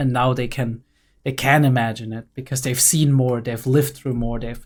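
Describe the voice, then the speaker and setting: Monotone, flat intonation at a moderate pace on a very clean recording with a silent background. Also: man, medium pitch for a man. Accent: German. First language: German. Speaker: gaming streamer, psychology student. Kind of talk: live gameplay commentary. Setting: livestream at home. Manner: halting.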